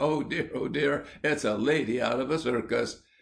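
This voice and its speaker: A man puts on a character voice at a medium pitch, shaky yet very even in loudness. He keeps a moderate pace and fairly even intonation. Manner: chuckling.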